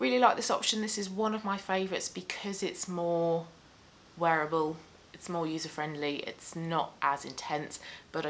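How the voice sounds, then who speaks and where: With a British accent, a woman speaks at a moderate pace in a very deep, low voice. Her intonation is lively, and there is light background noise. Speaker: beauty vlogger. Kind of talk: casual chat. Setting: home. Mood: relaxed, friendly. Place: home room.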